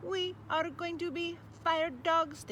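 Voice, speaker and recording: Clear background noise sits under a woman's put-on character voice. It is squeaky and extremely high. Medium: read story. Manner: mechanical, repetitive.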